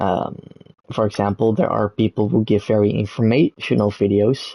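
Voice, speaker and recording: A fairly low-pitched man with a Dutch accent at a moderate pace. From Netherlands. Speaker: gaming streamer. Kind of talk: casual live stream monologue. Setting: live stream with background gameplay. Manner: halting, many fillers and restarts.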